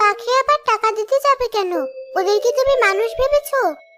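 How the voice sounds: With clear music in the background, a woman does a cartoonish character voice at an extremely high pitch with ordinary variation, very even loudness and a dry, close sound with no echo. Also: moderate pace.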